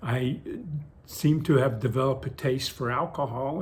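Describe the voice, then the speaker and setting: A man speaks with an American accent and a somewhat breathy voice. His intonation stays fairly even. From coastal Virginia, US. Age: 70s. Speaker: retired postal worker, senior vlogger. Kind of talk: casual monologue vlog. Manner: spontaneous, hesitant with fillers.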